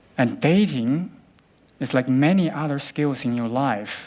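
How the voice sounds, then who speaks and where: A man with a Chinese accent and a fairly high pitch, at a fairly slow pace with ordinary pitch variation, on a very clean recording with a silent background. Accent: Chinese (Mandarin). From Beijing, China. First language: Mandarin Chinese. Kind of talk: TEDx talk.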